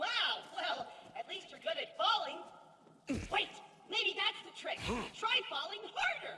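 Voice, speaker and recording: An extremely high, put-on character voice moves at a fairly slow pace with long, frequent pauses. There is a slight echo. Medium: video game. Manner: boastful, mixing old-fashioned speech with slang.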